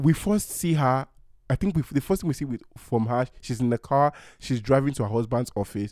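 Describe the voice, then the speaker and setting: A man's dark, mellow voice at a medium pitch, dry and close with no echo, on a very clean recording with a silent background. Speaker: film culture commentator. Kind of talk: casual chat. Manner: hesitant, filler-heavy.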